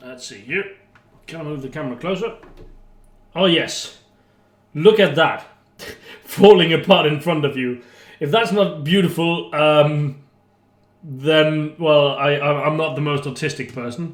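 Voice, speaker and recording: A fairly high-pitched male voice at a fairly slow pace, with ordinary pitch variation, long, frequent pauses and big swings in loudness. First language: not English. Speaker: YouTuber, beer chugging and cooking. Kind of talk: casual cooking vlog. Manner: chatty, hesitant with fillers.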